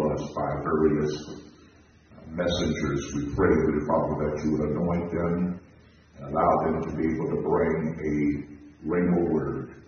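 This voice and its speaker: Through strong room echo and light background noise, a man with a very deep, low pitch speaks fairly slowly in a monotone, flat intonation. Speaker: minister leading prayer. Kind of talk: prayer. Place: church.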